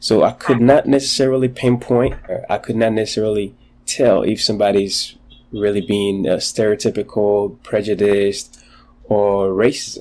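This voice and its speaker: A man speaks with a dark, mellow tone at a fairly low pitch. His pace is moderate and his intonation fairly even. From Ghana. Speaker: podcast guest. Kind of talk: interview. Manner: halting.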